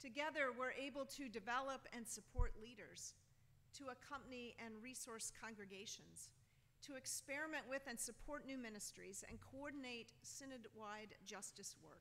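A woman talks at a moderate pace with ordinary pitch variation and big swings in loudness. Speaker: bishop preaching. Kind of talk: sermon. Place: church.

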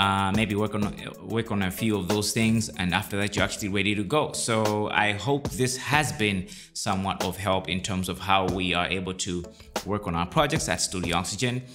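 A man keeps to a moderate pace as clear music sounds in the background. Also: fairly low pitch for a man, ordinary pitch variation. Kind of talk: tutorial. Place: home room. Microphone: studio mic.

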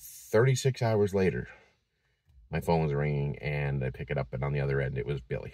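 Against a quiet background, a man with an American accent and a very deep, low pitch speaks at a fairly quick pace, the sound dry with no echo. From Massachusetts. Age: 50s. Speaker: vlogger. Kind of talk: personal vlog. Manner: halting, many fillers. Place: car. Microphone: phone near.

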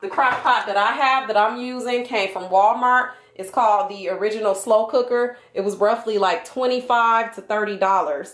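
A woman at a fairly slow pace with ordinary pitch variation and audible room echo. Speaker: home cook vlogger. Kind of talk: tutorial. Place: kitchen.

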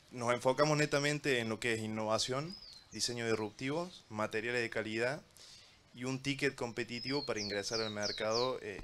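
Amid loud background noise, a man with a Córdoba Argentine accent speaks at medium pitch and a moderate pace, with ordinary pitch variation and big swings in loudness. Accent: Cordoba Argentine. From Argentina, Córdoba; Argentina. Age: young. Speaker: real estate developer; panelist. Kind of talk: panel discussion. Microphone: handheld.

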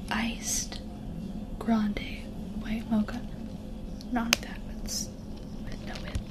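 Pausing long and often, a woman speaks at a very slow pace over loud background noise. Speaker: female vlogger / content creator. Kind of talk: ASMR video, casual talk to camera. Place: home room.

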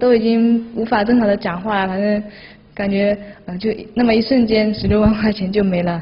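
A woman speaks at a fairly high pitch with monotone, flat intonation. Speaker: fraud victim, company employee. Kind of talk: interview answer. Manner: hesitant, many fillers. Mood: upset, regretful. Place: office. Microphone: handheld.

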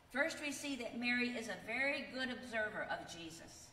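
At a fairly high pitch, a woman speaks at a moderate pace in a bright, sharp tone, with audible room echo around her.

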